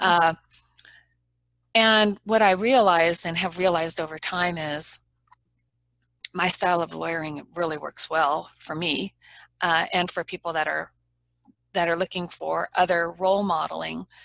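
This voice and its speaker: Against a quiet background, with a dry, close sound and no echo, a woman with a fairly low pitch speaks at a moderate pace, her intonation fairly even and her pauses long and frequent. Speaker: trial lawyer. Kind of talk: interview. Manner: not booming, persuasive rather than loud.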